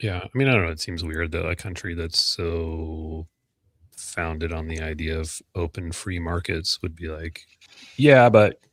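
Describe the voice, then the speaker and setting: On a very clean recording with a silent background, a man with a very deep, low pitch talks at a fairly slow pace, taking long, frequent pauses, his loudness swinging widely. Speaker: podcast co-host. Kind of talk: casual chat.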